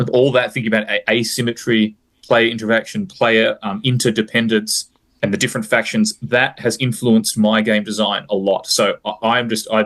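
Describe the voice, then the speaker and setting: Speaking at a moderate pace in an Australian accent, a man keeps a medium pitch and fairly even intonation. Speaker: high school teacher and war game designer. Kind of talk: interview. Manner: halting, with fillers and restarts.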